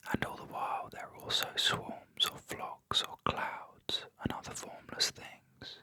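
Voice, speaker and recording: A man whispers at a fairly slow pace, with big swings in loudness. Noticeable background noise sits behind him. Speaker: artist and art teacher. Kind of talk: film essay narration. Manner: whispered.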